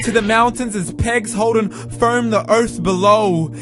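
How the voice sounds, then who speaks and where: Man speaking with music in the background. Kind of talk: spoken word poetry.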